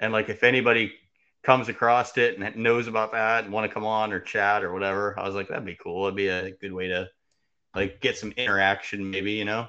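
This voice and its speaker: This man's intonation is flat and monotone. He talks fairly quickly. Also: fairly low pitch for a man. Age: 30s. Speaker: podcast host. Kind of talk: casual chat.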